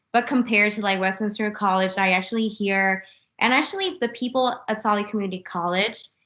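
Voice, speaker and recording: A woman speaks at a very fast pace with a bright, sharp tone and fairly even intonation. Her loudness stays very even over a quiet background. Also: medium pitch for a woman. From Vietnam, Hanoi. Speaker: university student. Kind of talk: panel discussion at info session. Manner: hesitant, many fillers.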